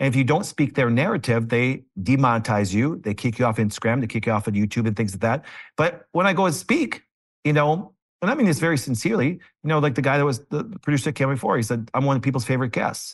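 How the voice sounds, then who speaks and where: A man with an American accent, very fast delivery and lively intonation. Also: medium pitch for a man. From Green Bay, Wisconsin. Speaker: chiropractor. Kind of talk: casual interview. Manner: fast talker.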